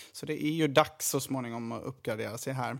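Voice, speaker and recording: Here a man is speaking. His pace is moderate. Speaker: junior doctor and podcast editor. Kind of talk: casual chat.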